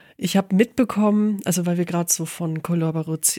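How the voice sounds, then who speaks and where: The dark, mellow tone of a woman's voice comes through in a dry, close sound with no echo. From Allgäu, southern Germany. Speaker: photographer, podcast co-host. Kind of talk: casual chat.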